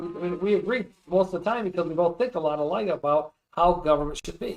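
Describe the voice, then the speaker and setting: Speaking very fast with an American accent, a man uses a high pitch and ordinary pitch variation. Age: 60s. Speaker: county commissioner. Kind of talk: interview. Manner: animated.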